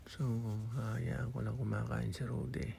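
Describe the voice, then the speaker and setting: A soft-spoken man with a very deep, low pitch, a dark, mellow tone and vocal fry, plus very wide pitch swings and audible room echo. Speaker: vlogger, overseas Filipino worker. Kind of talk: casual voice-over vlog narration. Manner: soft, weak voice.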